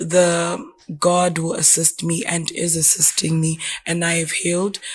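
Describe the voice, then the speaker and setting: At a fairly slow pace, a woman speaks with a fairly low pitch and monotone, flat intonation. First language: not English. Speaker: podcast guest. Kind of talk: casual chat.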